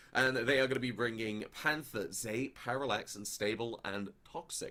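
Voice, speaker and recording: An English accent marks this voice. It keeps to a moderate pace. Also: man. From England. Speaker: esports caster. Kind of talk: live commentary.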